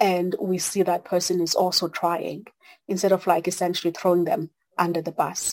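With a South African accent, a woman speaks at a fairly low pitch. Her pace is moderate and her intonation monotone and flat. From South Africa (Xhosa). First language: Xhosa. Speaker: consultant, church member. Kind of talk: casual discussion. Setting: video call.

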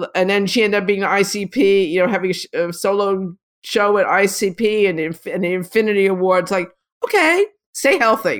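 A woman's unremarkable speaking voice at medium pitch, with fairly even intonation and a moderate pace. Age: 60s. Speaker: street photographer and retired art teacher. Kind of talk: interview. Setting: video call.

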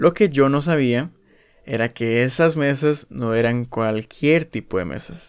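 The recording is very clean, and the background is silent. The man's medium pitch shows ordinary variation. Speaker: podcaster. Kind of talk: casual monologue.

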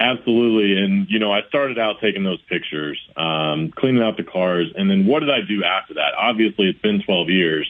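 Using a normal speaking voice, a man with an American accent and fairly low pitch talks at a fairly quick pace with lively intonation, very even loudness and hardly any pauses. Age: 30s. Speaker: charity CEO. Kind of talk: interview. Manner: polite, formal.

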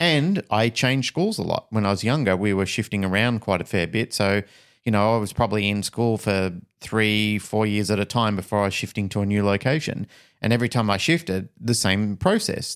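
In a very clean recording with a silent background and a dry, close sound with no echo, a man with an unremarkable speaking voice talks at a fairly low pitch with ordinary pitch variation and very even loudness. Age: 50s. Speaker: podcast co-host. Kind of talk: casual podcast conversation.

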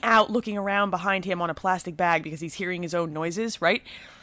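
At a fairly quick pace, a woman with an American accent speaks at a medium pitch with ordinary pitch variation. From US Northeast, New Jersey. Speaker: podcast host. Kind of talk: casual chat. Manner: animated.

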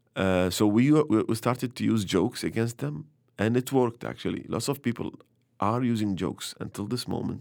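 A man with an Arabic accent speaks fairly quickly at a medium pitch, with ordinary pitch variation. The recording is very clean, with a silent background. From Iraq, Baghdad. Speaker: comedian. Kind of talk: interview. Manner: halting.

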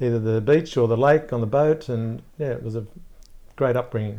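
Someone with an Australian accent speaks at a moderate pace in a dark, mellow tone with fairly even intonation. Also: man. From Australia, Gosford, New South Wales. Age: 50s. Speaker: media entrepreneur. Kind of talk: interview.

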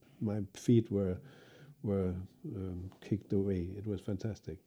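In a Danish accent, a man talks at a fairly slow pace with fairly even intonation and a dark, mellow tone. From Denmark. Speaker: cello professor and orchestral cellist. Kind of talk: interview.

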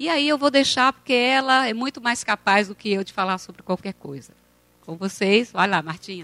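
A woman's lively intonation and big swings in loudness at a fairly high pitch and moderate pace, dry and close with no echo, with music in the background. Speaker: university lecturer. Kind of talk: event introduction. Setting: auditorium with audience.

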